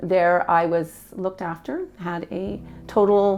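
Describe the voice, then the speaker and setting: A woman with a Canadian accent speaks at a very slow pace and medium pitch. Her pitch variation is ordinary, with noticeable background noise. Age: 60s. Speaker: cancer patient. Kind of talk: testimony. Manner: halting.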